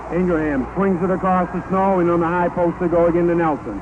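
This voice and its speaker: With noticeable background noise, a man speaks in a high voice at a fairly quick pace. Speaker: radio sports announcer. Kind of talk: live radio play-by-play sports commentary. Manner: fast, excited.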